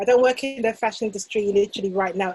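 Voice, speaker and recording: A woman with a British accent, medium-pitched, with ordinary pitch variation. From England, UK. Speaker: fashion business coach. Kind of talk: casual chat.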